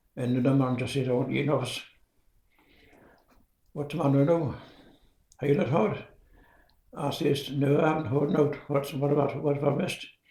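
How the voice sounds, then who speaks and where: A man speaks at a moderate pace, his pitch fairly high and his intonation fairly even. The tone is dark and mellow, somewhat breathy, with long, frequent pauses. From Northumberland, England. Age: 90s. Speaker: retired coal miner and church organist. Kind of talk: interview answer. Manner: hesitant, rambling.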